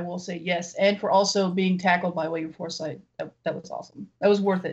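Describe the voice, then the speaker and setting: A woman with an American accent talks in a somewhat breathy voice. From Los Angeles. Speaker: film podcaster. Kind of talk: casual chat.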